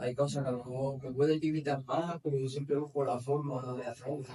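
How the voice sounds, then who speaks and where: His intonation stays monotone and flat. The man's pitch sits at a medium level. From Spain, Granada. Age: 30s. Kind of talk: interview.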